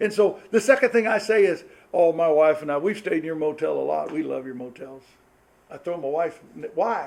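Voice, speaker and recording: A man speaks at a fairly quick pace with a fairly high pitch. His intonation is lively, with big swings in loudness. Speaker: pastor. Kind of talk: marriage seminar talk. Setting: church with live audience. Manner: fast.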